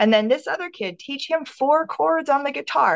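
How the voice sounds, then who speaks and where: A woman with an American accent talks at a moderate pace, her pitch swinging very widely. The background is quiet. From Minnesota. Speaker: minister. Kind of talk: interview conversation.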